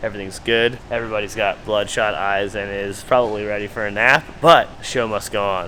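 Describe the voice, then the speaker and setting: A man speaks quietly in a room with audible echo. Noticeable background noise runs under his voice. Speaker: drift car builder and suspension specialist. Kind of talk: casual vlog chat. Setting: workshop.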